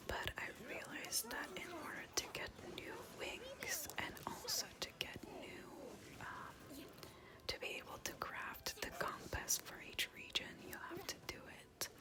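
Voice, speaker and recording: Someone whispers at a fairly slow pace in a relaxed tone. Background noise is noticeable. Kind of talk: whispered ASMR gaming ramble to camera. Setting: home recording, quiet house. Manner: whispered, soft-spoken, relaxed.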